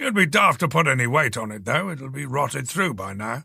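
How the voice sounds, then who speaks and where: A man's raspy, put-on character voice at medium pitch, fairly quick, with very wide pitch swings and big swings in loudness. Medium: read story. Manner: brusque, irritable.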